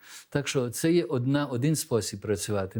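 On a very clean recording with a silent background, a man with a normal speaking voice talks at medium pitch and a moderate pace, with ordinary pitch variation. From Belgium, born abroad to Ukrainian diaspora. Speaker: diaspora organization leader, former embassy staffer. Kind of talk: studio interview. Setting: TV studio.

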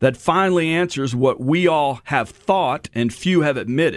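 In an American accent, a man with a plain, everyday voice speaks at a fairly slow pace and fairly high pitch, with ordinary pitch variation over a quiet background. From Texas. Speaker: radio host. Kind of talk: radio story segment. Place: studio.

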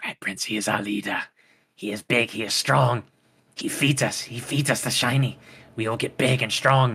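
A man's raspy voice at a medium pitch, with fairly even intonation. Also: moderate pace. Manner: whiny, pleading, broken speech.

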